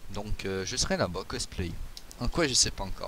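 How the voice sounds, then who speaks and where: Talking fairly quickly, a man uses vocal fry and very wide pitch swings. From Quebec, Canada. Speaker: podcast host, anime fan. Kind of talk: casual chat.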